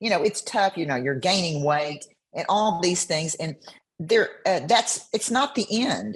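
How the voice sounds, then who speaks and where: A woman's somewhat breathy, medium-pitched voice with very wide pitch swings at a fairly slow pace. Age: 70s. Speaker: bikini competitor. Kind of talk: interview answer.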